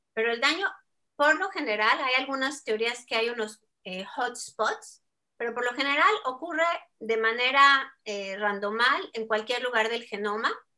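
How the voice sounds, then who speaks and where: At a fairly slow pace, a woman talks in a high pitch with a bright, sharp tone. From Mexico. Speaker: scientist researching ageing. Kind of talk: interview.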